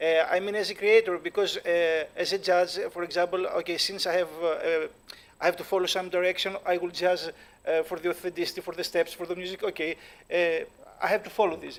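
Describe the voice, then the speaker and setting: Speaking fairly quickly with a Greek accent, a man holds a high pitch in a monotone, flat delivery. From Greece. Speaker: dance creator and judge. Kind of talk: panel discussion. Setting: stage with live audience. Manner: halting, many fillers.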